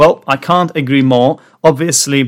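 A man speaks with a non-native accent and a fairly high pitch, showing ordinary pitch variation. The recording is very clean, with a silent background. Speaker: English teacher podcast host. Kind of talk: educational podcast monologue. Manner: clear, measured pace for learners.

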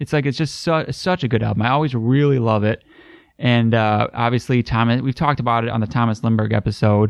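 Against a quiet background, a man at medium pitch talks at a very fast pace, with very even loudness and ordinary pitch variation. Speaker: metal podcast host. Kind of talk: casual chat.

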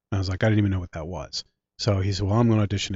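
Somewhat breathy and fairly low, a man's voice comes with an American accent. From Philadelphia area / South Jersey. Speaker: film director, producer and writer. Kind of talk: casual interview chat.

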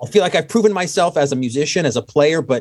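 A man uses an ordinary speaking voice and talks at a fairly quick pace. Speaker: musician.

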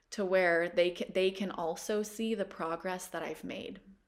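A woman at medium pitch with a Pacific Northwest accent, a fairly slow pace and fairly even intonation, on a very clean recording with a silent background. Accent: American, Pacific Northwest. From Washington State, US. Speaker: plant medicine practitioner. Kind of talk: interview.

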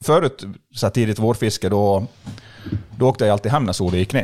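Lively intonation runs through this man's medium-pitched voice. The audio is very clean, set against a silent background. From Sweden, Borlänge (Dalarna). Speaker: fishing expert. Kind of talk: casual chat. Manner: animated.

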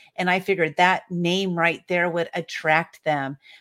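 A woman speaks in a Californian accent. Her pitch is fairly low. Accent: General American (Californian). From US West Coast (San Diego, California). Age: 50s. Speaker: author and publisher. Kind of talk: podcast interview. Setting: video call.

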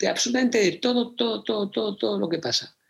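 At a fairly quick pace, a man with a high pitch talks with lively intonation. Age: 40s. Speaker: theatre producer and speaker. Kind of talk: interview conversation.

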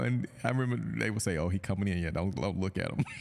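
With an American accent, a man speaks over noticeable background noise. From US South, Georgia. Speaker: tech business owner, chemistry alumnus. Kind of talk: casual chat.

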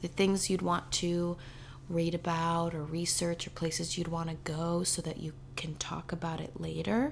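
A plain, everyday voice. It keeps a moderate pace with fairly even intonation. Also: woman, fairly low pitch for a woman. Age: 20s. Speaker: podcast host, mother. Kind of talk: casual chat.

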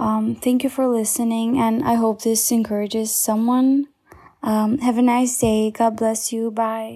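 A woman's fairly high, somewhat breathy voice with a dark, mellow tone, very even loudness and monotone, flat intonation. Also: fairly slow pace. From Albania. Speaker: churchgoer sharing testimony. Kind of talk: recorded testimony.

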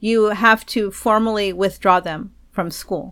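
A woman's medium-pitched voice with an American accent, an ordinary speaking voice with ordinary pitch variation, in a very clean recording with a silent background. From Texas. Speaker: podcast host, homeschooling parent. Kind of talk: casual advice talk.

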